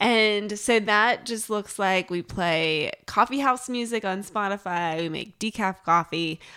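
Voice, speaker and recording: The recording is very clean, with a silent background. A woman with an unremarkable speaking voice talks at medium pitch with ordinary pitch variation. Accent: American. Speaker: podcast co-host. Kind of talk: casual chat.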